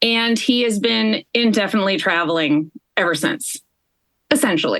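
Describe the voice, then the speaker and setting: A woman with a US Midwestern accent speaks at a medium pitch with very wide pitch swings. Her pace is moderate, and the sound is dry and close with no echo. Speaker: podcast host and coach. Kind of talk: podcast interview.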